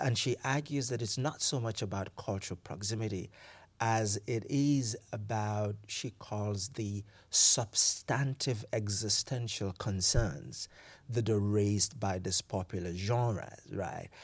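A man speaks at a very slow pace, somewhat breathy and fairly low in pitch, with ordinary pitch variation on a very clean recording with a silent background. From Nigeria. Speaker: professor. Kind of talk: academic interview.

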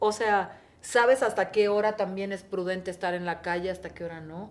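A woman talks at a moderate pace with an unremarkable speaking voice. Her pitch sits in the medium range. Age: 40s. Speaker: TV presenter. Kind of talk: casual chat.

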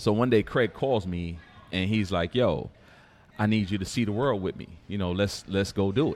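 In a normal speaking voice, a man with an American accent talks at a fairly quick pace, his fairly low pitch showing ordinary variation. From Detroit and New York (from age 14). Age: 40s. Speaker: former firefighter and restaurant owner. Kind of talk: casual chat. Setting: live recording at a downtown venue.

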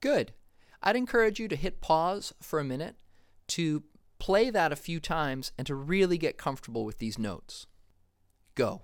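In a very clean recording with a silent background, a man with an American accent talks at a moderate pace in a high pitch, with very wide pitch swings and long, frequent pauses. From Massachusetts, US. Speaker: jazz podcast host and music teacher. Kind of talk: tutorial.

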